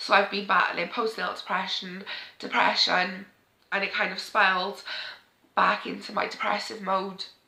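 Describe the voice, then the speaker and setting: A woman with a Welsh accent, medium pitch, and monotone, flat intonation. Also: moderate pace. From Wales. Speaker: parenting vlogger. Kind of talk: emotional sit-down talk to camera.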